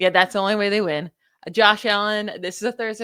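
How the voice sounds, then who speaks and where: In a very clean recording with a silent background and a dry, close sound free of echo, a woman talks very fast with an American accent. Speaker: NFL podcast co-host, stats analyst. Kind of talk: casual sports chat.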